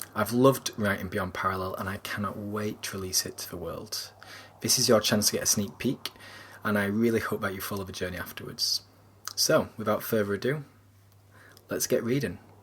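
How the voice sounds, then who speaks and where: This man speaks with a Yorkshire accent at a fairly low pitch. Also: ordinary pitch variation, fairly quick pace. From Yorkshire, England. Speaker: author. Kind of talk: casual introduction to a reading.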